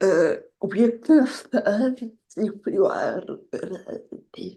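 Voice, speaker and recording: Very slow speech with a somewhat breathy, dark, mellow tone and ordinary pitch variation. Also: woman, medium pitch for a woman. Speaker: interview channel host. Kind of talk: interview.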